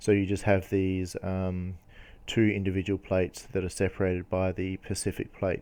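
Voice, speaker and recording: With an Australian accent, a man speaks at a moderate pace in a very deep, low voice with a dark, mellow tone. His intonation stays monotone and flat over a quiet background. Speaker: geology educator. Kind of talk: lecture. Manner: halting, many fillers.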